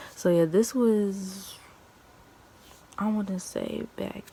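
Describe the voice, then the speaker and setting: A woman speaks quietly with fairly even intonation, and there is noticeable background noise. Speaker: YouTuber telling personal stories. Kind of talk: storytime vlog. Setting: at home, early morning. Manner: talking low, quiet; stuttering, halting.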